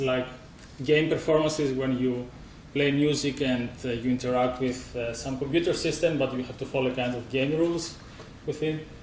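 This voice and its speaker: Audible room echo surrounds a man speaking at a moderate pace. His fairly high pitch holds a monotone, flat intonation. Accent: strong Greek. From Greece. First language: Greek. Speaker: musician and composer. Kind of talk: conference presentation.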